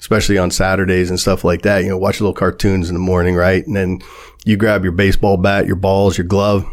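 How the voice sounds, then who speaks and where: A man's very deep, low voice with a Midwestern American accent. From US Midwest, Warren, Ohio. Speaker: local businessman and developer. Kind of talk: casual interview chat. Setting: podcast studio.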